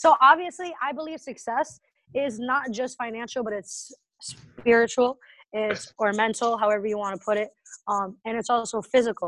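In an American accent, this is a normal speaking voice with ordinary pitch variation at a moderate pace. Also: woman, fairly high pitch for a woman. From Massachusetts, near Boston. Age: 20s. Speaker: entrepreneur. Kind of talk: casual interview.

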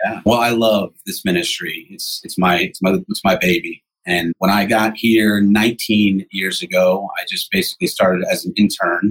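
In a plain, everyday voice, a man with an American accent talks at a moderate pace and a fairly low pitch, with ordinary pitch variation and hardly any pauses. The sound is dry and close, with no echo. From New Jersey, Jersey Shore. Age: 40s. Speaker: pastor and addiction recovery ministry leader. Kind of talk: interview.

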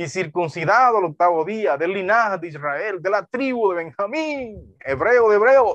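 This man's voice sits high in pitch and carries lively intonation. He speaks at a fairly slow pace. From Dominican Republic, deep south (Neiba lake region). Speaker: pastor. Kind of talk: sermon.

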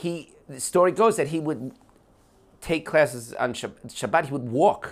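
A man with an American accent speaks in a plain, everyday voice at a fairly high pitch and moderate pace. His intonation is lively, his loudness swings widely, and the recording is very clean over a silent background. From New Jersey, US. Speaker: podcast guest, long-time immigrant to Israel. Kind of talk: casual conversation over whiskey. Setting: at his home.

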